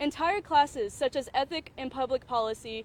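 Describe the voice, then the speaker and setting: Her pace is moderate. This woman's voice sits high in pitch. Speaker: undergraduate student speaker. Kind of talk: prepared statement at press conference. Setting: press conference. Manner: loud; halting, self-correcting.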